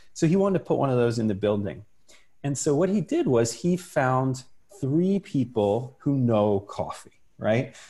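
At a moderate pace, a man speaks with a dark, mellow tone at a medium pitch, somewhat breathy. His intonation is lively and his loudness very even. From US, Italian immigrant family. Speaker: entrepreneur. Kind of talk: casual chat.

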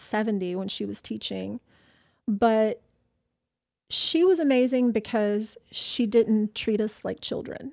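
A woman with an American accent uses a plain, everyday voice, fairly high in pitch with ordinary pitch variation, at a fairly slow pace. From US South. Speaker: personal trainer. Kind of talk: casual interview.

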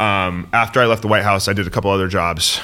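Talking very fast with fairly even intonation, a man with an American accent has a bright, sharp tone. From San Francisco, US West Coast. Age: 30s. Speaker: political staffer. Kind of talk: casual chat. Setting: studio.

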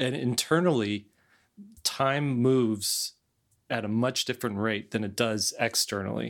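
A man with a normal speaking voice talks at a fairly slow pace. His pitch is medium with ordinary pitch variation. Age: 40s. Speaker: podcast host and illustrator. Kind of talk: casual chat.

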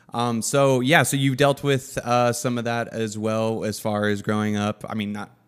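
A man of medium pitch talks in a normal speaking voice with fairly even intonation. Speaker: podcast host. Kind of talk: casual podcast interview.

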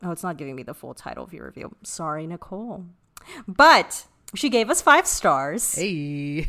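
A woman speaks at a moderate pace with a fairly low pitch. Her pitch swings very widely and her loudness shifts a lot. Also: very clean recording, silent background. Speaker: podcast co-host. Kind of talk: casual chat. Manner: subdued.

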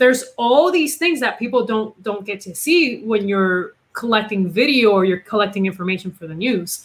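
A woman at a moderate pace, somewhat breathy, with lively intonation and big swings in loudness. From Puerto Rico. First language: Spanish. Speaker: investigative reporter. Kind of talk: casual interview chat.

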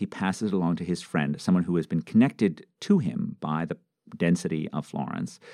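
A dark, mellow tone with an American accent comes through at a fairly quick pace and lively intonation, dry and close with no echo on a very clean recording with a silent background. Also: man. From New York City. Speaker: economics professor. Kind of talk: interview.

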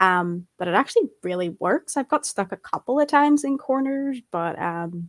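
A woman uses a normal speaking voice at a fairly slow pace with lively intonation, in a dry, close sound with no echo. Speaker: gaming writer. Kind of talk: casual chat.

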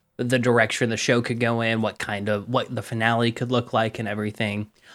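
A man at medium pitch, fairly quick and animated, in a very clean recording with a silent background. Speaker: tabletop RPG podcaster and player. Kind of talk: casual chat. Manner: animated, jokey.

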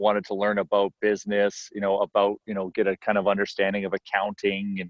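A man speaks at a fairly low pitch in a western Canadian accent. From Edmonton, Canada. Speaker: entrepreneur and restaurant owner. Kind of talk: interview.

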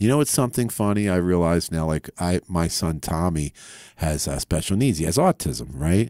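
Over a very clean recording with a silent background, a man with an American accent speaks at a moderate pace in a very deep, low pitch, his tone dark and mellow, his intonation lively, and the sound dry and close with no echo. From Philadelphia area. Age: 50s. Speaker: rock guitarist. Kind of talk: casual interview chat. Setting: radio studio.

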